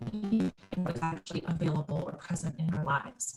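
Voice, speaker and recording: A somewhat breathy woman with a dark, mellow tone, speaking at a moderate pace. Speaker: licensed clinical social worker and presenter. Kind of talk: webinar presentation. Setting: video call.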